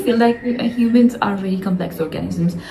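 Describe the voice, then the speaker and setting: Against noticeable background noise and audible room echo, a woman with a non-native accent speaks at a medium pitch with ordinary pitch variation. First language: not English. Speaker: vlogger. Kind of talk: casual monologue. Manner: hesitant, many fillers.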